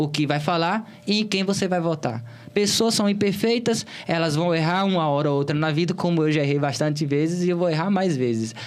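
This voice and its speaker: High male voice with a Bahian accent, fairly quick pace, very even loudness and ordinary pitch variation, plus audible room echo and noticeable background noise. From Bahia, Brazil (Cícero Dantas, interior). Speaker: political candidate. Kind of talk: interview.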